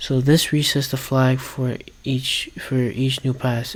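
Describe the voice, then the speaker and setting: Somewhat breathy and monotone, a man speaks at a very slow pace and a medium pitch with flat intonation. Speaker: coding learner vlogger. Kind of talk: coding tutorial vlog. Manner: halting.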